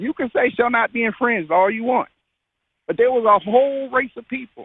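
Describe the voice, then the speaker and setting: This man's pitch is extremely high, with ordinary variation. He speaks at a fairly quick pace in an American accent. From United States. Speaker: caller. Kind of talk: heated debate. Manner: interrupting, insistent.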